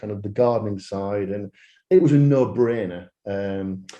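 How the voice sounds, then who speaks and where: A man speaks with a Yorkshire accent. His pace is fairly slow. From northern England, Yorkshire. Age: 60s. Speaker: landscaping business owner. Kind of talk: podcast interview.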